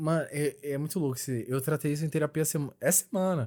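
A fairly high-pitched man's voice with a dark, mellow tone, at a moderate pace, on a very clean recording with a silent background. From São Paulo (Capão Redondo), born in Bahia. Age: 20s. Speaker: podcast panelist. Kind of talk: casual chat.

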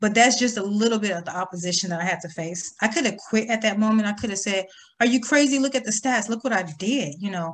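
A woman with an American accent talks at a fairly quick pace. Her medium-pitched voice is somewhat breathy, with ordinary pitch variation. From US Midwest, small town. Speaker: financial coach. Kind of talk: interview.

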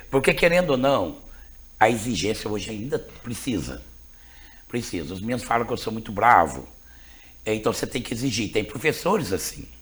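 A man speaks at a moderate pace in a medium-pitched voice with vocal fry. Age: 50s. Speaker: school principal. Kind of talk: interview conversation.

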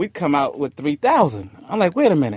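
Recorded very cleanly with a silent background and a dry, close sound with no echo, a man with an unremarkable speaking voice talks at a moderate pace, his pitch fairly high. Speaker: music manager. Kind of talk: casual interview. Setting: studio.

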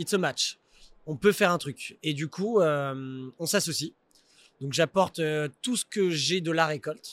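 Over a very clean recording with a silent background, a man with a fairly high pitch speaks at a very slow pace with long, frequent pauses and ordinary pitch variation, the sound dry and close with no echo. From Paris region, France. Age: 30s. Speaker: entrepreneur. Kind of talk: casual interview.

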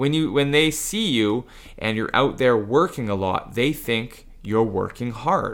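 A man talks at a fairly slow pace, his intonation lively. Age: 40s. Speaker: jujitsu instructor, former English teacher. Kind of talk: casual chat. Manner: high energy.

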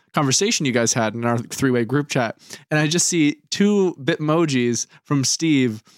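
In a normal speaking voice, a man with fairly high pitch talks at a moderate pace with lively intonation, in a dry, close sound with no echo. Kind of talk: casual chat. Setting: video call.

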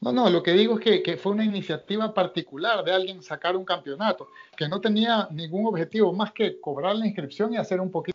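A high-pitched man talks at a fairly quick pace with hardly any pauses. His pitch variation is ordinary. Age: 30s. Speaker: martial arts instructor. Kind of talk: interview.

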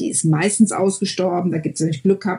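A somewhat breathy woman's voice with fairly even intonation. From Germany, Mönchengladbach (Lower Rhine). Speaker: German expat in the US. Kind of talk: interview.

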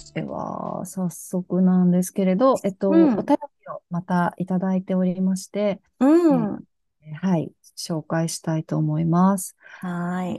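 A woman speaks at a fairly slow pace in a dark, mellow tone of medium pitch with ordinary variation. The sound is dry and close with no echo. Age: 30s. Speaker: podcast co-host. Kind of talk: casual chat.

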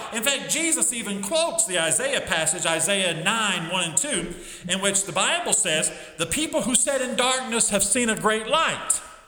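A man with a high pitch speaks in a raised, projected voice at a moderate pace with very wide pitch swings, amid audible room echo and noticeable background noise. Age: 50s. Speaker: Sunday school teacher. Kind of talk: Bible lesson. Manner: halting.

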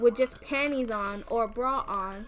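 A woman speaks with a high pitch and an animated tone. Her pace is fairly slow, with ordinary pitch variation. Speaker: podcast co-host. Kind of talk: heated debate.

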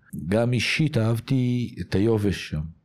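A man speaks at a very slow pace. His voice has a dark, mellow tone. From Israel, Ramat HaSharon. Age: 50s. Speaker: former tennis pro and tennis coach. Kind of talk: interview.

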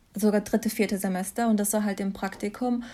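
A woman's dark, mellow, somewhat breathy tone at a fairly high pitch, in a very clean recording with a silent background. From Germany, Mannheim. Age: 20s. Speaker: master's student. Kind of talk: casual interview.

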